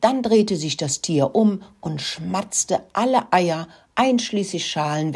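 The speaker is plainly reading aloud. The intonation is lively.

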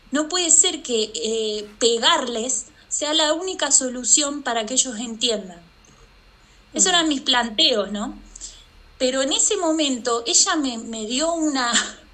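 A woman speaks fairly slowly in a high, raised, projected voice with lively intonation. Noticeable background noise and audible room echo fill the recording. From Argentina, Santa Fe. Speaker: artist and mother. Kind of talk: interview conversation. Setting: remote call.

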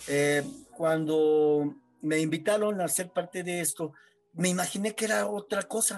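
Speaking fairly slowly at a high pitch, a man uses lively intonation. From Mexico, San Luis Potosí. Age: 40s. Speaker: amputee football player. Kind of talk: interview testimony. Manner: halting.

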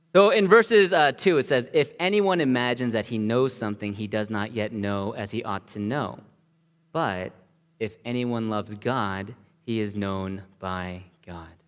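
At a moderate pace, a man speaks in a normal speaking voice with medium pitch. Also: lively intonation. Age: 30s. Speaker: pastor. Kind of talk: sermon. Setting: church.

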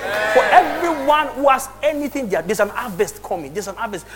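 A man speaks in a raised, projected voice with an animated tone and lively intonation over noticeable background noise. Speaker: pastor. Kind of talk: sermon. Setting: church with congregation. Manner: animated, exhorting; loud, rhetorical, direct address.

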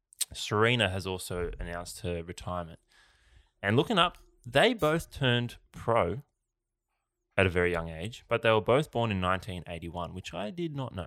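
Here a man with an Australian accent talks at a fairly low pitch with lively intonation. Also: moderate pace, very clean recording, silent background. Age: 30s. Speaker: athlete and podcast co-host. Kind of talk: casual chat.

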